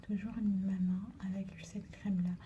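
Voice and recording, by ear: Over noticeable background noise, a woman speaks very slowly at a medium pitch in a monotone, flat intonation.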